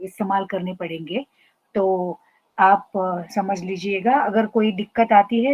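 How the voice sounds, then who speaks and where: Ordinary pitch variation marks a woman's medium-pitched voice. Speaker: professor. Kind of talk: lecture. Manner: halting, frequent fillers.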